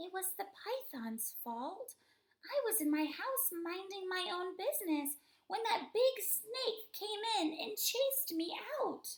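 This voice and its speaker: Putting on a character voice, a woman speaks fairly slowly at an extremely high, squeaky pitch with very wide pitch swings. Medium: read story. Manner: timid.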